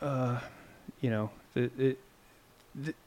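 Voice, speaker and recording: A man with a northern New York accent, in a very clean recording with a silent background. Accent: northern New York American. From upstate New York, near the Quebec/Ontario border. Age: 30s. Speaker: metal guitarist. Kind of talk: casual interview chat. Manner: halting, many fillers and restarts.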